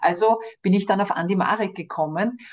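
The voice is somewhat breathy, with lively intonation. The pace is moderate. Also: woman. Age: 50s. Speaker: cancer charity director. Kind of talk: interview.

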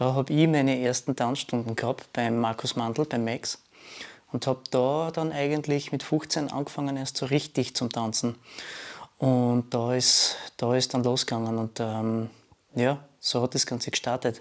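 A man with a plain, everyday voice and medium pitch speaks at a fairly slow pace with fairly even intonation. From Austria, Graz. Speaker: dancer and DJ. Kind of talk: casual chat.

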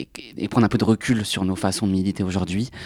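A man's fairly low pitch and fairly even intonation, in a dry, close sound with no echo. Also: very clean recording, silent background. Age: 20s. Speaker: archive association volunteer. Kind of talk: panel discussion.

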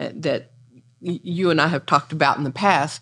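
A woman with an American accent speaks at a very deep, low pitch with ordinary variation, on a very clean recording with a silent background. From Raleigh, North Carolina. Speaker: community historian. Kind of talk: panel discussion.

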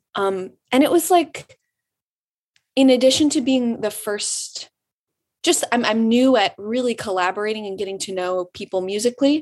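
A woman with an American accent and an unremarkable speaking voice talks at a moderate pace, her fairly high pitch moving in lively intonation. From Michigan, Detroit suburbs. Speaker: singer-songwriter. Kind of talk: interview. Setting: video call.

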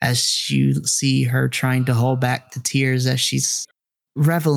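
Against a quiet background, the clip has reading aloud in a natural voice.

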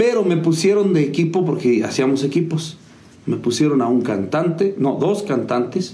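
With noticeable background noise, a man at a fairly high pitch speaks at a moderate pace with lively intonation and very even loudness. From Mexico, Hidalgo. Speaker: musician and music teacher. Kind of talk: interview. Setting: video show.

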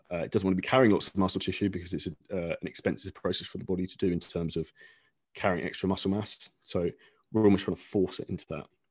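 In an English accent, a man talks at a very fast pace with a very deep, low pitch and fairly even intonation, recorded with a dry, close sound with no echo against a quiet background. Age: 30s. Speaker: online fitness coach. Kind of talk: casual interview.

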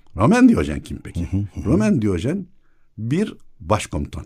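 A somewhat breathy voice at a moderate pace. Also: man. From Istanbul, Princes' Islands. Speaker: academic and local historian. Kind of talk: casual chat. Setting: studio.

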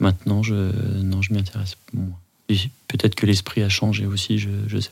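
This man's voice is fairly low in pitch, flat and monotone, and moves at a moderate pace. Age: 40s. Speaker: podcast guest, father of two. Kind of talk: personal interview. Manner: halting.

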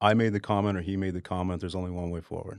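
Against a quiet background, a man with an American accent speaks in a very deep, low voice with monotone, flat intonation. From Dallas, Texas. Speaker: singer-songwriter and Air Force veteran. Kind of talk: casual interview. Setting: studio.

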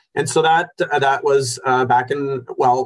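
Speaking at a fairly slow pace, a man uses a medium pitch. His voice is somewhat breathy. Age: 40s. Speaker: accountant, firm owner. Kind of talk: interview. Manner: animated.

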